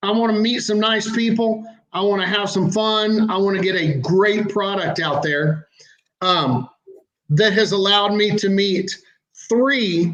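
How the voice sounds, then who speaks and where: In a room with audible echo, a high-pitched man speaks at a fairly slow pace, with ordinary pitch variation and very even loudness. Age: 60s. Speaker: seasoning company owner, sponsor. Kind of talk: casual chat.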